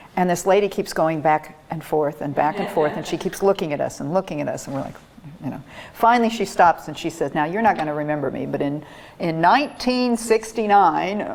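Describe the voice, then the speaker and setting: A woman with an American accent, fairly low-pitched, with lively intonation at a fairly quick pace, over noticeable background noise. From Iowa, US Midwest. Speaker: retired college instructor. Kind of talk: oral history interview.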